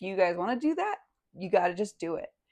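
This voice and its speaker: A woman talks at a fairly quick pace. Hers is an unremarkable speaking voice. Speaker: podcast host. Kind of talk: podcast interview.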